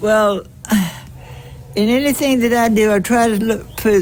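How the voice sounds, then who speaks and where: Over noticeable background noise, a woman with an American accent and a fairly high pitch talks at a fairly slow pace with fairly even intonation. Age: 80s+. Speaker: retired teacher and church organist. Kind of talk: casual chat. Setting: outdoors.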